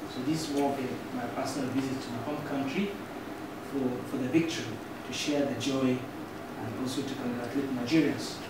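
A man at a fairly quick pace with long, frequent pauses, amid loud background noise and audible room echo. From northern Nigeria, Kaduna. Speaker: youth organization president. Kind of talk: formal courtesy visit speech. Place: meeting room.

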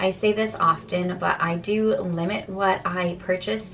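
Fairly even intonation over clear background music. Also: woman. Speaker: home decor vlogger. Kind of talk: casual vlog chat. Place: home room. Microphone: phone near.

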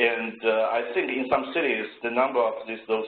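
A man's medium-pitched voice with a Chinese accent and monotone, flat intonation, in a room with audible echo. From China. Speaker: engineer; presenter. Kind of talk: presentation. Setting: video call. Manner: halting. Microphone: video call.

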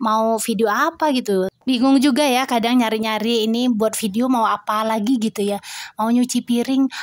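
Moderate pace and fairly even intonation, with hardly any pauses and very even loudness, in a dry sound with no echo against a quiet background. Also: woman, fairly high pitch for a woman. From Indonesia. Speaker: homemaker vlogger and Quran teacher for children. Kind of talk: casual vlog narration. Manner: friendly, chatty. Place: home room. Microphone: camera far.

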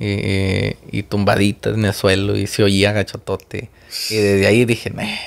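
A man with a fairly low pitch speaks fairly slowly in a monotone, flat intonation. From Mexico. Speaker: car channel host. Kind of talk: casual interview chat. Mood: amused, laughing storyteller. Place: studio. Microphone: studio mic.

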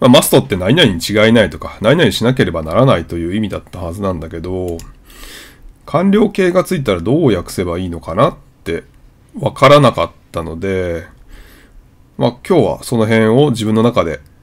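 A man talks at a fairly quick pace in a fairly low pitch, with very wide pitch swings, big swings in loudness, and long, frequent pauses. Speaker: YouTuber learning English. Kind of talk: vlog-style explanatory monologue.

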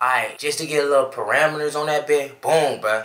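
At a moderate pace, a man talks. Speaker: vlogger. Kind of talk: casual storytime vlog chat. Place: home room. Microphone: camera far.

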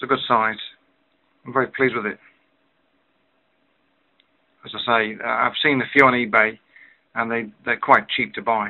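Against a quiet background, a man talks at a moderate pace with fairly even intonation and long, frequent pauses. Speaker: pipe smoker reviewing a pipe. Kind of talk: casual vlog chat. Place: home room. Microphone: webcam.

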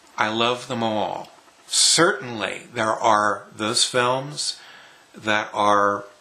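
This man's voice sits fairly low in pitch and shows ordinary pitch variation. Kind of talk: casual vlog chat. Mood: enthusiastic, fond. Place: home room. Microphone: webcam.

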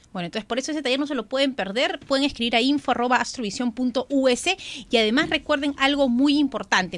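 The voice races at a very fast pace with lively intonation. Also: woman. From Callao, Peru; Peru. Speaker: radio co-host. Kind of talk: radio call-in show. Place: studio. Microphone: studio mic.

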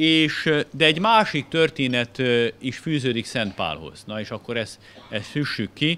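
Very slowly, a man speaks in a bright, sharp tone with very wide pitch swings. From Hungary. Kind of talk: illustrated lecture. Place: hall. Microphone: podium.

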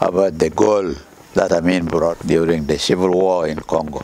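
A man speaks here. His pitch is very deep and low, with light background noise behind him. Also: dry sound with no echo. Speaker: retired army colonel and clan head. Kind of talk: interview answer. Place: garden. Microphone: lapel.

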